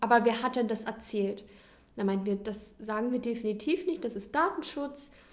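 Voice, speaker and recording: A plain, everyday voice speaks at a moderate pace. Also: woman. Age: 20s. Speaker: nursery teacher. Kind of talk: casual chat.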